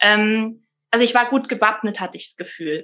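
Her tone is bright and sharp. The woman's pitch sits fairly high, with ordinary variation. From Rhineland-Palatinate, Germany. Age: 30s. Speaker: midwife. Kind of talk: interview conversation. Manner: frequent hesitation fillers.

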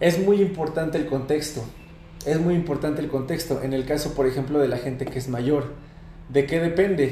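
Amid noticeable background noise and audible room echo, a man with a fairly high pitch speaks at a moderate pace with fairly even intonation. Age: 20s. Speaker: fitness coach. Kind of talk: interview.

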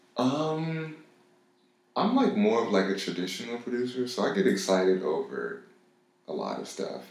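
Room echo is audible around this man with an American accent. He speaks at a moderate pace. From Los Angeles, US. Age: 20s. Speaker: music producer. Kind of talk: casual chat. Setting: studio.

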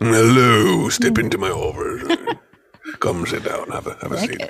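Using a raspy, put-on character voice, a man speaks at a fairly slow pace. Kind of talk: formal, academic. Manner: stuffy, inviting.

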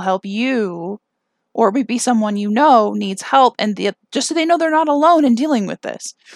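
Lively intonation carries a moderate pace in a very clean recording with a silent background and a dry, close sound with no echo. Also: woman. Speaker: podcast host. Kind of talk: casual solo podcast chat. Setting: home recording, late at night. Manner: giggly, frequent laughter.

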